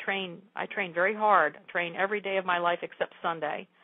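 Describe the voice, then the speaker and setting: At a moderate pace, a woman talks in an unremarkable speaking voice, medium in pitch with fairly even intonation. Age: 60s. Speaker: yoga teacher and martial artist. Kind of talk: interview.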